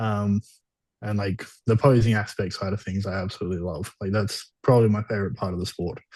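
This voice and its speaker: A man with an Australian accent speaks at a fairly quick pace in a fairly low, somewhat breathy voice with fairly even intonation against a quiet background. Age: 20s. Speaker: bodybuilder. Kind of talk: interview.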